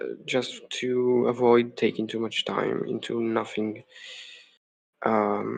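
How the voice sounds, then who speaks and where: With a non-native accent, the speaker goes at a very slow pace with long, frequent pauses. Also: man. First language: not English. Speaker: game developer streamer. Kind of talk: live coding stream. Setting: home live stream. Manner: hesitant, many fillers.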